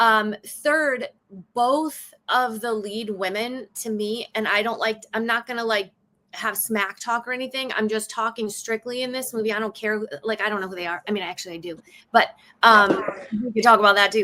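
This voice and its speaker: At a moderate pace, a woman with a strong Chicago accent speaks in an animated tone at a fairly high pitch. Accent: bold Chicago. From south side of Chicago. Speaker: stand-up comedian and actress. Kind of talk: podcast discussion. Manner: animated, casual.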